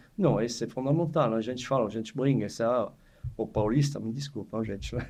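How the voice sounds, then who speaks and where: This man's voice has a dark, mellow tone. His delivery is fairly quick. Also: medium pitch for a man, ordinary pitch variation. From France (Savoie). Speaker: chef. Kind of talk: casual chat. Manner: halting.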